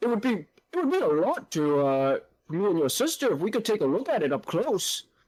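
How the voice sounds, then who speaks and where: This is a put-on character voice pitched fairly high. It swings very widely in pitch. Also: fairly quick pace. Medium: actual play. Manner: hearty, effusive.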